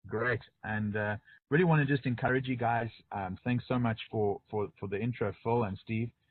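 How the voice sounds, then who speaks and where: A man with a South African accent talks at medium pitch with ordinary pitch variation. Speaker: pastor. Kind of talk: webinar presentation. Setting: online webinar. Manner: fast.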